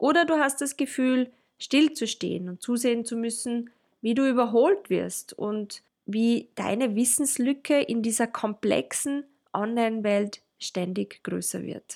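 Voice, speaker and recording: With a Tyrolean accent, a woman speaks at a fairly high pitch with ordinary pitch variation. The recording is very clean, with a silent background. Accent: Tyrolean, rolled R. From Austria, Tyrol. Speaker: podcast co-host, marketing consultant. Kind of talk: casual chat. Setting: studio, sitting next to co-host.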